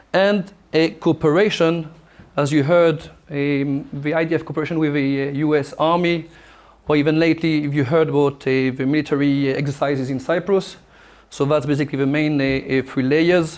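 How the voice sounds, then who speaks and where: Fairly high in pitch, a man with a French accent talks at a fairly quick pace with fairly even intonation. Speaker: military officer and lecturer. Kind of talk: lecture. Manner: halting, many fillers.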